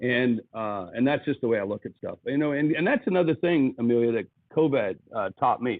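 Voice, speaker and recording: A man with an American accent talks at a fairly quick pace. His pitch is medium and his intonation lively. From US Midwest, South Dakota. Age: 60s. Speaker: business speaker and author. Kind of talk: podcast interview. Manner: animated.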